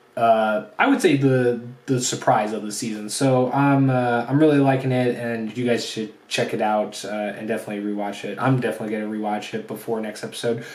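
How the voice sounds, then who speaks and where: The speech moves at a moderate pace, and room echo is audible. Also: man. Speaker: anime reviewer. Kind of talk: solo video review. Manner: hesitant, many fillers.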